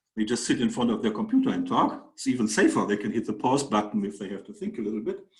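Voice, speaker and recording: A man with a German accent talks very fast, with hardly any pauses. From Germany. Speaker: mathematics professor. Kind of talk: webinar presentation. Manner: halting, many fillers.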